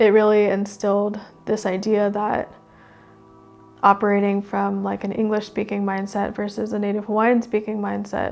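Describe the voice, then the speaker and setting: Music plays in the background as a woman speaks at a moderate pace. Her medium-pitched voice has monotone, flat intonation. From Oregon and Hawaii. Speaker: Native Hawaiian artist. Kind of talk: casual conversation.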